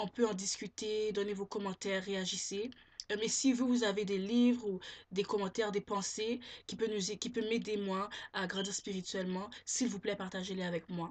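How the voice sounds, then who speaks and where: A woman at a medium pitch, moderate pace and monotone, flat intonation. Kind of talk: casual vlog talk.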